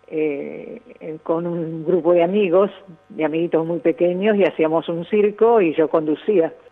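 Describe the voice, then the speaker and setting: Over noticeable background noise, a woman speaks at a fairly slow pace. Her voice is fairly low, with ordinary pitch variation. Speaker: veteran radio broadcaster and teacher. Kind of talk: interview.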